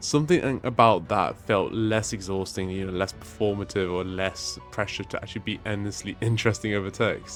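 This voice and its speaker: Moderately paced male speech over background music. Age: 20s. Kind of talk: casual personal story to camera.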